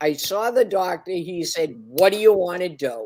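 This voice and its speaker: In a Boston accent, a woman speaks at a medium pitch. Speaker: reseller. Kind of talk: casual chat.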